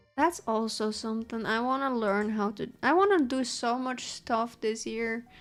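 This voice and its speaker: Backed by music in the background, a woman with a Dutch accent speaks at a moderate pace with hardly any pauses, in a fairly high pitch with ordinary pitch variation. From Netherlands. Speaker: streamer. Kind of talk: casual chat. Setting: live stream. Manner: loud.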